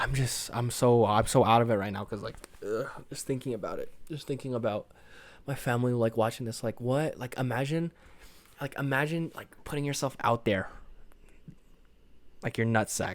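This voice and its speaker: On a very clean recording with a silent background, a man of medium pitch speaks at a moderate pace with long, frequent pauses. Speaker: podcast host. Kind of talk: solo podcast monologue. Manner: monotone.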